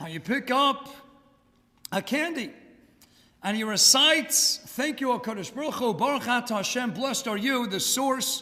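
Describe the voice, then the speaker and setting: A man uses a raised, projected voice at an extremely high pitch with ordinary pitch variation and long, frequent pauses. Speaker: rabbi. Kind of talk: lecture. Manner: fast.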